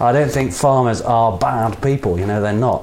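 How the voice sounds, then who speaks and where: The speaker has an English accent and talks at a fairly quick pace with ordinary pitch variation. Noticeable background noise runs underneath. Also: man. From England. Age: 30s. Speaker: podcast co-host and performer. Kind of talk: casual chat. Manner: halting.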